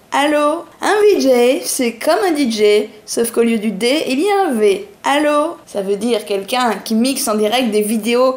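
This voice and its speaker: A woman speaks at a very slow pace in a high pitch with a playful tone. Noticeable background noise runs behind her. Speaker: comedian. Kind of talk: comic weekly bar program announcement. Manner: playful, improvised.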